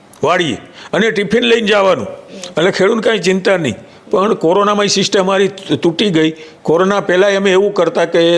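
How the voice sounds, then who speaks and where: A man with a high pitch talks with very even loudness and fairly even intonation. Noticeable background noise sits behind him. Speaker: retired forest officer. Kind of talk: interview.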